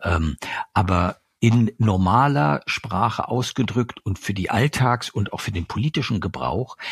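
Lively intonation marks this man's fairly low voice, delivered at a very slow pace with a dry, close sound and no echo. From eastern Germany. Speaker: journalist and author. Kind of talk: interview. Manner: hesitant, many fillers.

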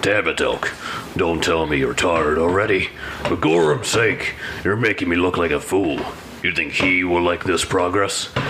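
Using a put-on character voice with a very deep, low pitch, a man speaks at a moderate pace over clear background noise. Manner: scolding, gruff.

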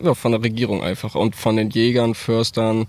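A man with a plain, everyday voice talks at a moderate pace. His pitch is medium and his intonation fairly even. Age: 20s. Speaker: farmer and volunteer firefighter. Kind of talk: casual interview. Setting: outdoors in a forest.

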